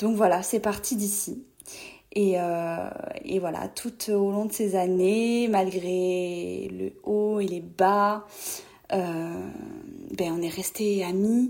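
A woman speaks very slowly at a medium pitch. Her pitch variation is ordinary, with noticeable background noise. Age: 20s. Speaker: friend of the host, trainee social worker. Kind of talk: recorded voice message testimony. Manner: hesitant, many fillers.

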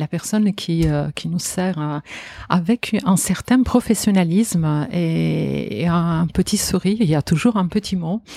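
A woman speaks at a fairly slow pace with a fairly low pitch for a woman, ordinary pitch variation and a somewhat breathy, dark, mellow tone. The sound is dry and close, with no echo. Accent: Italian. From Italy, Genoa and Parma region. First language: Italian (speaking French). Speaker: food writer and former grocer. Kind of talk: interview. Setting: at her home.

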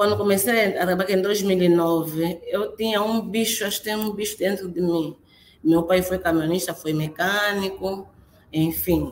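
Using fairly even intonation, a woman with a medium-pitched voice speaks at a moderate pace. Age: 30s. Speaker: crane operator. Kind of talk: interview. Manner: halting.

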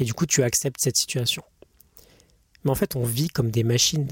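There is some breathiness in this voice. The recording is close and dry, free of any echo. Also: man. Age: 20s. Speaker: podcaster, former engineer. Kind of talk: unscripted personal monologue. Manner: halting, many fillers and self-corrections.

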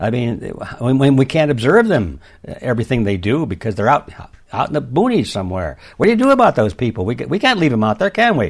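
Talking at a very fast pace, a man uses very wide pitch swings. He has a medium pitch and an American accent. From US Midwest, Detroit. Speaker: author. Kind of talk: interview. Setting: remote call.

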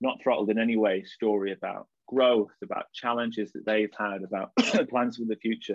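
A man with a slight Lancashire accent talks at a fairly low pitch. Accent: northern English (Lancashire), slight. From Blackpool, northwest England. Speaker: startup co-founder. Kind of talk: casual interview chat.

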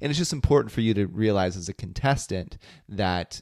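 A fairly low-pitched man with an ordinary speaking voice, lively intonation and a moderate pace, in a very clean recording with a silent background. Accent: American. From US Midwest, small city in Ohio near West Virginia. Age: 30s. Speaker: podcast host. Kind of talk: casual chat.

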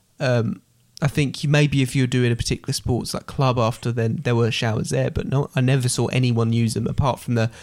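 A man with an English accent speaks very fast at medium pitch. His intonation is fairly even, and the recording is very clean with a silent background. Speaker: podcast host. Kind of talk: casual chat.

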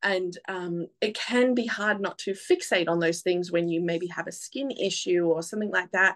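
A woman talks in an Australian accent, her pitch sitting in the medium range. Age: 30s. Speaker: photographer. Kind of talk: casual chat. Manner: loud.

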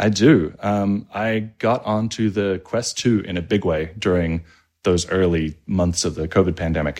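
A man with an Australian accent and a very deep, low pitch, talking fairly slowly with ordinary pitch variation against a quiet background. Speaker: app developer and interface designer. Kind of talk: casual interview chat.

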